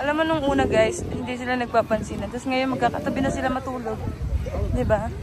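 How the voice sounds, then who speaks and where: Crowd noise fills the background as a woman talks at a very fast pace. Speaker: vlogger. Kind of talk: casual vlog chat. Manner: animated.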